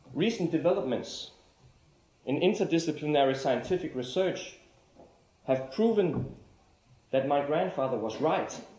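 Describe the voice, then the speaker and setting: Speaking with a Danish accent, a man with a fairly high voice uses lively intonation and long, frequent pauses, and audible room echo is present. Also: moderate pace. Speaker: artist-lecturer. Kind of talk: lecture. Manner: formal.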